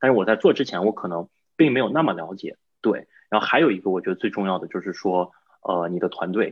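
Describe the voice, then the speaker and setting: Talking at a very fast pace, a man uses lively intonation and a fairly low pitch. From China. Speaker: real estate investor. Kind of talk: interview.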